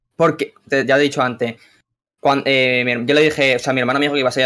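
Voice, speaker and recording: Bright and sharp in tone, a man talks at a very fast pace with a medium pitch. His intonation stays fairly even. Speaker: caller seeking advice. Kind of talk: casual chat. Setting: video call.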